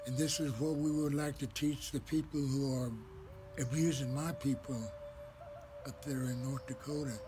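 Music in the background behind a man's moderate pace. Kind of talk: spoken personal message. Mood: solemn, sorrowful. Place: garden. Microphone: phone near.

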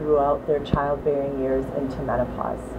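A woman speaks in an American accent with monotone, flat intonation. Noticeable background noise runs underneath. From US Midwest, Wisconsin (Waukesha area); Wisconsin. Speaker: physician. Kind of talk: scripted profile talk to camera; interview answer. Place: studio.

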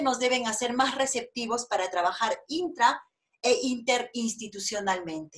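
A woman's high voice at a moderate pace, with ordinary pitch variation against a quiet background. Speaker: university official. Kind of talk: formal welcome speech. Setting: video call. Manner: formal. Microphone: video call.

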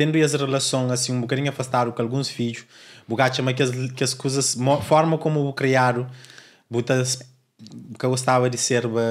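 A man talks at a moderate pace with medium pitch and a flat, monotone delivery. He leaves long, frequent pauses. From Cape Verde. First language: Cape Verdean Creole (speaking Portuguese). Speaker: podcast host. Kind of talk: interview. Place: studio. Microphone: studio mic.

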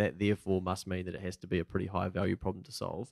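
Against a quiet background, a man with a New Zealand accent talks at a very fast pace in a very deep, low pitch, the sound dry with no echo. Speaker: podcast host. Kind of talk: casual interview. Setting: studio. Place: studio. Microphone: studio mic.

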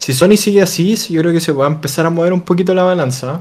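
A man's high-pitched, slightly mellow voice at a fast pace

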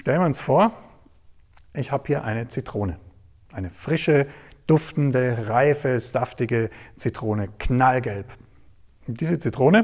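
In a quiet background, a man speaks in a somewhat breathy voice. He leaves long, frequent pauses. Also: ordinary pitch variation, fairly slow pace. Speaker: presenter. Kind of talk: storytelling talk to an audience. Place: stage. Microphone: lapel.

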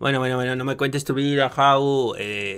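A man with a Mexican accent talks at a moderate pace in a bright, sharp tone over light background noise. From Mexico. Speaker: streamer reaction commentator. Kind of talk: reaction commentary. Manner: animated. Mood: critical, exasperated. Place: home room. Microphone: studio mic.

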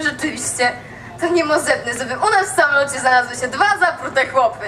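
A woman with a Kraków accent, high pitch and a raised, projected voice, with lively intonation over light background noise. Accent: Kraków rural dialect. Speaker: storyteller in dialect contest. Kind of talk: humorous dialect monologue on stage. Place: stage.

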